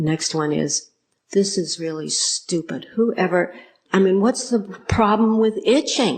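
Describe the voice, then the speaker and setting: Speaking at a very slow pace with an American accent, a woman keeps ordinary pitch variation. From United States. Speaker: Buddhist nun and meditation teacher. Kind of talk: dharma talk to an audience.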